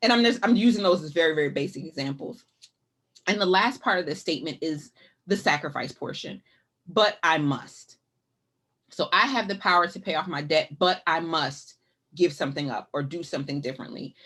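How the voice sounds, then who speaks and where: Her pitch sits fairly low for a woman, and her pace is fairly quick. The intonation is lively throughout. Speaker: financial educator, nonprofit director. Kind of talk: webinar presentation. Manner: fast.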